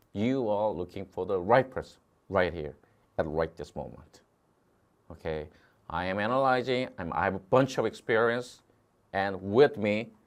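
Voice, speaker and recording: A man with a Korean accent and a fairly low pitch, lively intonation, moderate pace and long, frequent pauses, against a quiet background. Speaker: test prep instructor. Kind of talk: online lecture. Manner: repetitive filler 'okay'.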